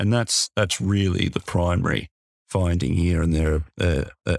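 A man with an Australian accent and a very deep, low pitch, at a fairly slow pace, in a dry, close sound with no echo and a very clean recording with a silent background. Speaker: lawyer podcast host. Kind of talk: casual professional discussion of a legal case.

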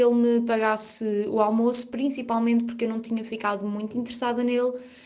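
A woman speaks fairly quickly at a fairly high pitch in a flat monotone. Background noise is noticeable, and the room echo is audible. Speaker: friend of the host. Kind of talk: recorded storytelling.

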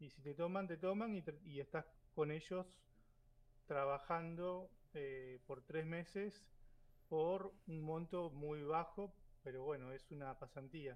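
A man speaks at a very slow pace with long, frequent pauses. His loudness swings widely, while his pitch varies in an ordinary way. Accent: Argentine. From Argentina. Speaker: graduate student. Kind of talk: casual chat.

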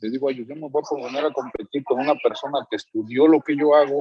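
A man with a Mexican accent at a fairly high pitch. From Mexico. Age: 30s. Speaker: immigrant worker. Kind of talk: interview. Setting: at work.

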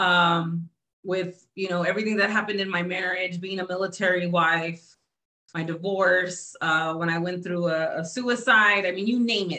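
Keeping a moderate pace, a woman speaks at medium pitch with fairly even intonation. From Texas, San Antonio. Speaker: blogger and publisher. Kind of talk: casual chat.

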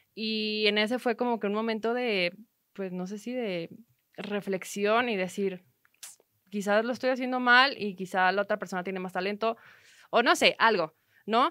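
A woman talks at a moderate pace and a fairly high pitch. She leaves long, frequent pauses and keeps ordinary pitch variation. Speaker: entrepreneur and sports photographer. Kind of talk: interview conversation.

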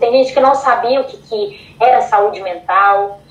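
Fairly even intonation at a moderate pace, with noticeable background noise. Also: woman. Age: 20s. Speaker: psychology student and model. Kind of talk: casual interview chat.

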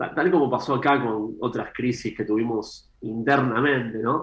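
A man with a normal speaking voice at a medium pitch, fairly even intonation and a fairly slow pace. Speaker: economist. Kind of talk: interview. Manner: measured, formal.

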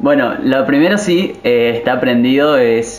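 Noticeable background noise and audible room echo surround a man speaking at a fairly high pitch with ordinary pitch variation. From Argentina, Misiones province. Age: 20s. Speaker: pastor. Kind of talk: interview.

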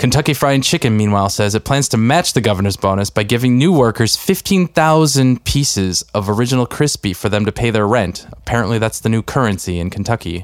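In an unremarkable speaking voice, a man speaks at medium pitch and a fairly quick pace with lively intonation, very even loudness and hardly any pauses. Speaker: podcast co-host. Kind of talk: casual chat with a scripted news-parody skit. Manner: conversational, laughs while riffing.

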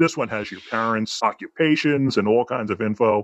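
With lively intonation, this man's speech moves along at a fairly quick pace. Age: 60s. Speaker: transgender woman sharing her story. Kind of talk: interview. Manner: upbeat; halting.

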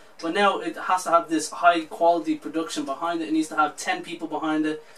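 Against noticeable background noise, a man speaks at a fairly quick pace with ordinary pitch variation. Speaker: podcast co-host. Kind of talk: casual banter.

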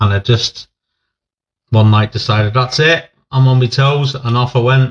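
This man has an East Midlands accent and a medium pitch. He talks at a fairly slow pace with fairly even intonation.

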